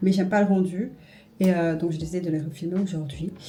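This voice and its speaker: A woman talks at medium pitch with fairly even intonation. Music plays in the background, and the room echo is audible. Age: 20s. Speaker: beauty and lifestyle vlogger. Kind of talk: casual vlog talk to camera. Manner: casual, hesitant with fillers.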